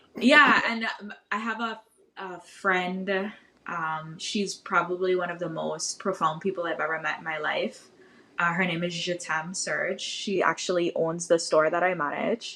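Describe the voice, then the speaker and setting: Fairly slow speech from a woman in a Virgin Islands accent, with a bright, sharp tone. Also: medium pitch for a woman, ordinary pitch variation. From US Virgin Islands, St. Thomas. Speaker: podcaster and social media history creator. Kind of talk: podcast interview. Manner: casual, conversational.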